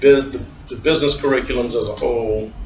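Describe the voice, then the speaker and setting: A man with an American accent speaks at a fairly quick pace. Noticeable background noise and audible room echo surround him. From US South, New Orleans. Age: 60s. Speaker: accountant. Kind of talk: interview. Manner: halting, many fillers.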